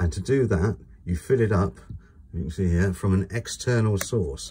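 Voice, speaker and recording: His voice is somewhat breathy with a dark, mellow tone, and this man uses ordinary pitch variation. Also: fairly low pitch for a man, moderate pace. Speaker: caravan dealer presenter. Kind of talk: product walkthrough tutorial. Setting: inside a caravan.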